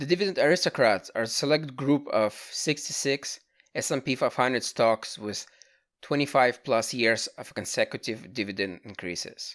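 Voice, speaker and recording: A man's medium-pitched voice with a non-native accent, lively intonation and a moderate pace, on a very clean recording with a silent background. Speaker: amateur dividend investor. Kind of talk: casual finance talk to camera.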